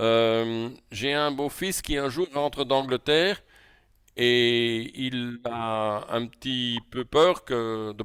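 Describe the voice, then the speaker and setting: The sound is dry and close, with no echo. A man with a Belgian accent speaks at medium pitch. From Belgium. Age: 60s. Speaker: coach. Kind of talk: lecture. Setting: video call. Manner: halting.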